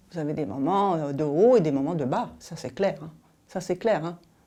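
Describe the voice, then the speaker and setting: A woman talks with a dark, mellow tone and ordinary pitch variation. There is audible room echo. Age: 60s. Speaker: paralympic athlete and business executive. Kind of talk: interview testimony. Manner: hesitant, many fillers and restarts.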